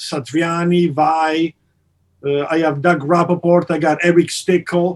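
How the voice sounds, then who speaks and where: In an Italian accent, a man speaks with a high pitch and monotone, flat intonation. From Italy. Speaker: amp company partner and guitarist. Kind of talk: podcast interview. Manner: halting, many fillers.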